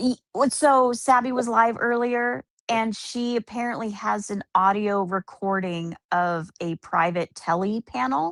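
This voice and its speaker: A woman with a medium pitch and lively intonation talks at a fairly slow pace with hardly any pauses, in a dry, close sound with no echo. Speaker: livestreamer. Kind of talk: casual chat. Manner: loud; cackling laugh.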